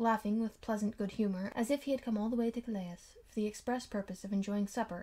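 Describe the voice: The delivery is plain reading aloud. Its intonation is fairly even.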